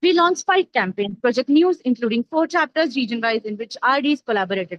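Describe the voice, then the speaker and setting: Dry and close with no echo, a woman's high-pitched voice races along at a very fast pace with lively intonation. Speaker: student officer of medical students' association. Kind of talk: formal report presentation.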